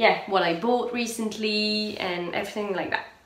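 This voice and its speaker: A woman's medium-pitched voice with a French accent and ordinary pitch variation, with audible room echo and noticeable background noise. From France. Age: 30s. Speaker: knitting and sewing podcaster. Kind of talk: casual vlog podcast chat. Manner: hesitant, many fillers.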